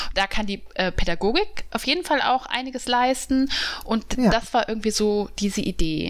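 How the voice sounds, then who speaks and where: Her intonation lively and her pitch fairly high, a woman speaks at a moderate pace in an unremarkable speaking voice. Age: 30s. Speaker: journalist and podcast co-host. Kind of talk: casual chat.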